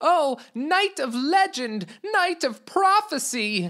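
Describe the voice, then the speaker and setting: A put-on character voice, high in pitch, with very wide pitch swings at a very slow pace. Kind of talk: formal, reverent address to a knight.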